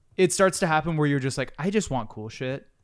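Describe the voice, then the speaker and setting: In a very clean recording with a silent background, a man talks with lively intonation. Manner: animated.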